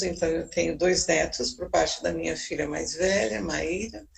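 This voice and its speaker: A woman talks fairly slowly at a fairly low pitch while noticeable background noise carries on. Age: 70s. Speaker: psychologist. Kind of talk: interview talk.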